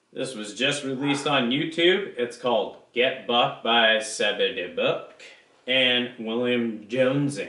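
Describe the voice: A man speaks slowly at a medium pitch, his bright, sharp tone ringing through strong room echo. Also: ordinary pitch variation.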